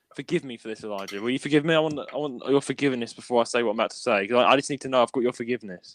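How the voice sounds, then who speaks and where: In a Cockney accent, a man speaks at a very fast pace with ordinary pitch variation, with a dry, close sound with no echo and a quiet background. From London, England. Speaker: podcast host. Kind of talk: casual chat.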